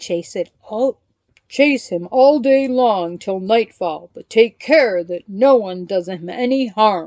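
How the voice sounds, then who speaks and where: Using a put-on character voice, a woman speaks fairly slowly at a fairly high pitch with lively intonation, the sound dry and close with no echo. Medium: read story.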